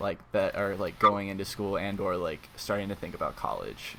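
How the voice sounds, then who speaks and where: Noticeable background noise is present. A man talks at a fairly quick pace. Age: young, about 18. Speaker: podcast co-host. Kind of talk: casual chat. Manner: halting, repeats words.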